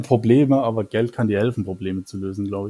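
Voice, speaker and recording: Over a very clean recording with a silent background, a man at a medium pitch uses an ordinary speaking voice, with ordinary pitch variation at a fairly quick pace. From Germany, Mannheim. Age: 30s. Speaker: Twitter user. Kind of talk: casual interview.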